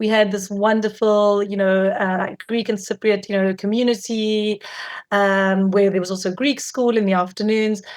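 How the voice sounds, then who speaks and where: A woman's monotone, flat delivery on a very clean recording with a silent background. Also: medium pitch for a woman, moderate pace. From South Africa. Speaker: film director and producer. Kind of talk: interview. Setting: podcast interview.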